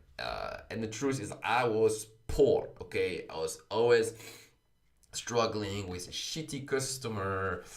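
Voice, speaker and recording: Speaking very slowly with a French accent, a man makes big swings in loudness amid audible room echo. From France, Paris. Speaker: blockchain coding instructor. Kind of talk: livestream talk. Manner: many fillers, uh and um.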